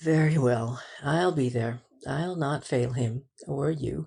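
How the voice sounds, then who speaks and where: Raspy and pitched low-to-middle, the put-on character voice goes at a fairly slow pace. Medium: read story.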